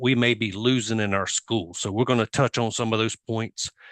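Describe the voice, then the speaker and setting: A man with a Southern US accent speaks at a medium pitch with fairly even intonation, the sound dry and close with no echo against a quiet background. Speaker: software industry presenter. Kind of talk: conference presentation.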